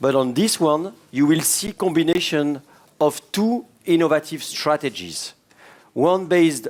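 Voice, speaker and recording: Speaking with a French accent, a man uses lively intonation, a moderate pace and a fairly high pitch. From France. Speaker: cardiologist, session chair. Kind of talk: conference session introduction.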